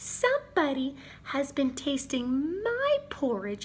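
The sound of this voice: Over light background noise, a female-sounding voice puts on a high-pitched character voice at a fairly slow pace.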